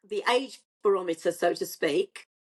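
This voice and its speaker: A woman's unremarkable speaking voice, with ordinary pitch variation. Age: 60s. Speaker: online dater. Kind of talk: casual chat.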